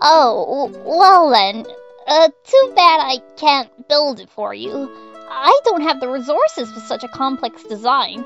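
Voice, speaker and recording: Over faint music in the background, a female-sounding put-on character voice speaks at a high pitch and a fairly slow pace. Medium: dub. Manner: stammering, nervous, hesitant.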